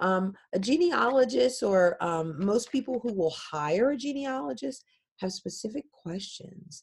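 At a fairly slow pace, a woman with an American accent speaks in a somewhat breathy voice at a medium pitch with very wide pitch swings. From Philadelphia, US. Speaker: genealogist and technology consultant. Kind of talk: interview.

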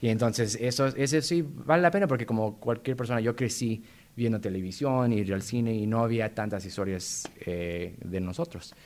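With a plain, everyday voice, a man talks at a moderate pace, his medium pitch showing ordinary pitch variation. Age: 30s. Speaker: playwright. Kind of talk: interview.

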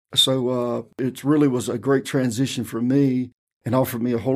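A man with a North Carolina accent, medium pitch, monotone, flat intonation and a fairly quick pace. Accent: southern US (North Carolina). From US South, rural Robeson County, North Carolina. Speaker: county tax director and pastor. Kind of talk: interview.

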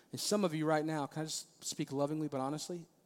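A man with an American accent speaks at a fairly quick pace in an unremarkable speaking voice, his pitch fairly high. The recording is very clean, with a silent background. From Maryland, US. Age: 30s. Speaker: pastor. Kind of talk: sermon. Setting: church.

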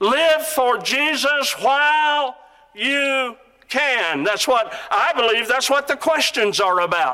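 A man's raised, projected voice at an extremely high pitch, with lively intonation. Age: 60s. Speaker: preacher. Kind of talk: sermon. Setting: auditorium with audience.

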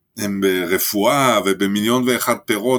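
A man speaks at a fairly low pitch in a bright, sharp tone with ordinary pitch variation. The recording is very clean, with a silent background. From France. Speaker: music club owner and reggae band leader. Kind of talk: interview.

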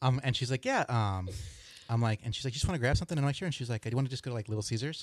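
Against a quiet background, a man speaks at a very fast pace. His pitch is medium, with ordinary pitch variation. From Southern California. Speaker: podcast guest. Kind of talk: casual chat. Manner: halting.

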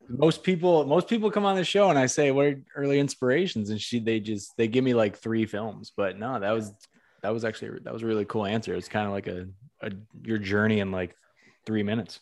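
In a normal speaking voice, a man talks at a fairly quick pace with medium pitch. His intonation is lively, and the background is quiet. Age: 30s. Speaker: podcast host. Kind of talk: casual interview.

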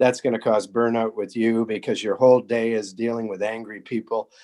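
A normal speaking voice from a man, fairly quick in pace and medium in pitch. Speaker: physician. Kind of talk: podcast interview.

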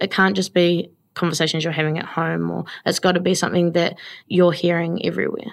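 A woman's fairly low, monotone, flat voice in a New Zealand accent at a fairly quick pace, on a very clean recording with a silent background. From New Zealand, Taranaki (New Plymouth). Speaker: small business owner, baker. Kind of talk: casual interview.

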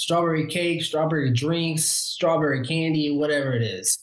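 An ordinary speaking voice from a man with an American accent, fairly high pitch, ordinary pitch variation and a moderate pace. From Omaha, Nebraska. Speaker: realtor. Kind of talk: interview conversation.

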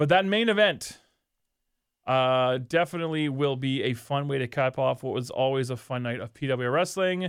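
A man's fairly high voice, a normal speaking voice, with ordinary pitch variation at a moderate pace. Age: 40s. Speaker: wrestling podcast co-host. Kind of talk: casual chat.

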